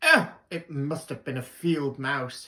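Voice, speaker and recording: A man uses a put-on character voice, fairly high in pitch, delivered at a fairly slow pace. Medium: read story. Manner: confident, breezy.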